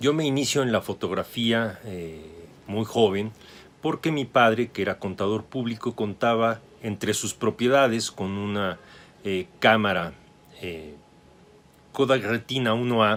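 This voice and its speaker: A man speaks at a fairly slow pace with ordinary pitch variation, a medium pitch, and long, frequent pauses. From Mexico City. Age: 60s. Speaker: photographer and photography teacher. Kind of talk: interview.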